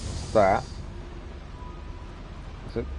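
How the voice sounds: Spoken at a very slow pace with a slightly mellow tone, the voice comes over faint music in the background. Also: man.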